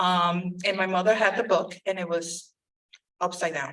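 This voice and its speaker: A woman speaks with a Spanish accent, a medium pitch and a bright, sharp tone. Her intonation is monotone and flat, at a moderate pace. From Puerto Rico. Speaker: school board member. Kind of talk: community meeting speech. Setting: church hall meeting. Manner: halting, many fillers.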